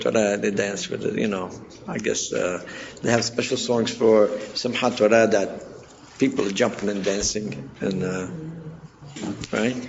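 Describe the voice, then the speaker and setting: At a moderate pace and medium pitch, a man speaks with noticeable background noise and audible room echo. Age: 60s. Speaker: community elder and cantor. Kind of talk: oral history interview. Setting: community center. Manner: halting.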